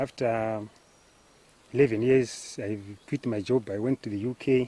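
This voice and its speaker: The sound is dry and close, with no echo. Intonation stays monotone and flat. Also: man. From Zimbabwe (Gutu). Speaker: farmer. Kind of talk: interview testimony. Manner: halting.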